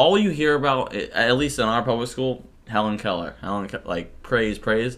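An ordinary speaking voice from a man, medium in pitch, lively in intonation, at a moderate pace. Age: 20s. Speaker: podcast host. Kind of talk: casual chat.

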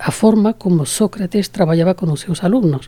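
In a Spanish accent, a woman speaks with a fairly low pitch, a dark, mellow tone, and ordinary pitch variation. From Spain, Toledo. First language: Spanish (speaking Portuguese). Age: 70s. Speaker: association founder and president. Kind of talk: interview.

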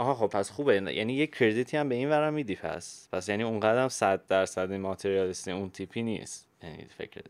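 Over a silent background in a very clean recording, a man talks at a very fast pace with hardly any pauses, his fairly low voice lively in intonation and his loudness making big swings. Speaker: podcast host. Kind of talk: casual chat.

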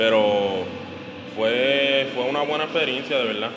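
The speaker's pitch varies in an ordinary way at a fairly slow pace. Music plays in the background, and room echo is audible. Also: man. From Puerto Rico. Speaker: professional basketball player. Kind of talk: interview. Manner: halting, many fillers.

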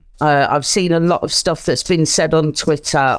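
A woman with a British accent speaks at a very deep, low pitch. Her intonation is flat and monotone. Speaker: caller, wrestling fan. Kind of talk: casual chat.

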